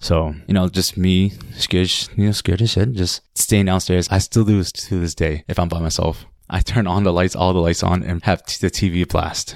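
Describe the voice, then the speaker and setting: Fairly even intonation in a very clean recording with a silent background and a dry, close sound with no echo. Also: man, very deep, low pitch for a man, moderate pace. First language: Khmer. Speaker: listener sharing a paranormal story. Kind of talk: personal storytelling. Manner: halting.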